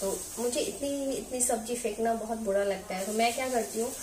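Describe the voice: Over clear background noise, a woman with fairly high pitch talks at a fairly quick pace with fairly even intonation.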